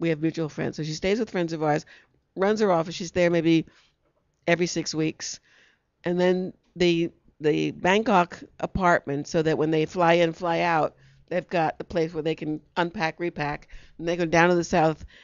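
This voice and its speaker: A woman's fairly low voice, a normal speaking voice with an American accent, at a moderate pace and fairly even intonation, in a dry sound with no echo and a quiet background. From New York. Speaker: talk show host. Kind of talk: casual chat. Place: studio. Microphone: handheld.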